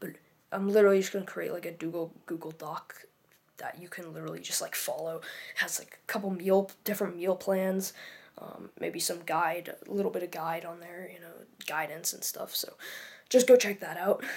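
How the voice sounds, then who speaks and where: A woman speaks quietly at a moderate pace, her fairly low pitch held in fairly even intonation while her loudness swings widely. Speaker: fitness youtuber. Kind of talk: casual vlog tutorial. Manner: halting, many fillers.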